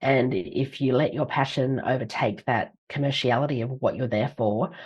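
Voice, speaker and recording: In an Australian accent, a woman speaks. Her pitch is very deep and low. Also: ordinary pitch variation, moderate pace. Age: 50s. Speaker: leadership author and speaker. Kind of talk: podcast interview.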